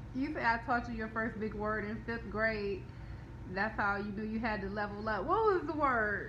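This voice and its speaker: Audible room echo and noticeable background noise are present. Over them, a woman talks at a moderate pace. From Detroit, US. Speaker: business coach. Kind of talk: live stream chat.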